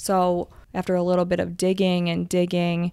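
A woman at a moderate pace with an American accent, in a very clean recording with a silent background. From Michigan. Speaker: therapist. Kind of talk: casual chat.

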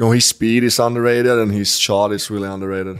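A man with a Swedish accent speaks at a moderate pace in a fairly low pitch. His intonation is monotone and flat, on a very clean recording with a silent background. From Sweden. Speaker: professional hockey player. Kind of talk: interview. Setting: in person interview in Stockholm.

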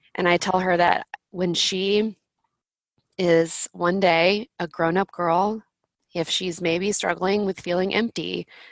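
In an American accent, a woman with an unremarkable speaking voice talks fairly slowly at a fairly low pitch, her intonation fairly even. The recording is very clean with a silent background, the sound dry and close with no echo. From Florida, Pensacola. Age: 30s. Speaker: author and planner entrepreneur. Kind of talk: podcast interview.

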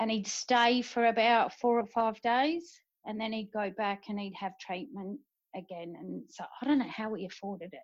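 Speaking in an Australian accent, a woman has a fairly high pitch and ordinary pitch variation. Her pace is moderate. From South Australia. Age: 50s. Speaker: military spouse. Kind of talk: casual interview.

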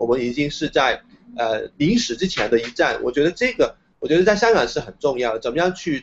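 A man with a Hong Kong accent, lively intonation and a fairly quick pace. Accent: Hong Kong Cantonese-accented Mandarin. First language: Cantonese (speaking Chinese). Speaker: independent media founder and university lecturer. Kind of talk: interview. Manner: hesitant, many filler sounds.

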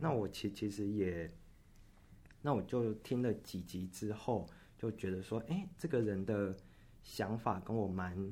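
A man's dark, mellow, fairly low voice at a fairly slow pace, with long, frequent pauses. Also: ordinary pitch variation. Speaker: nursing student. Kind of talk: interview. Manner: halting, frequent self-repetitions.

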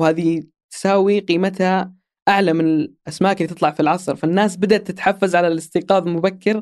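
A man speaks fast in a high pitch with a slightly mellow tone. His intonation is fairly even, and the recording is very clean with a silent background.

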